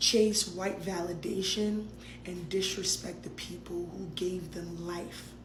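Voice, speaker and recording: A woman's voice with audible room echo and noticeable noise in the background. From Nigeria. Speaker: immigrant social media commentator. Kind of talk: social media rant. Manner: animated.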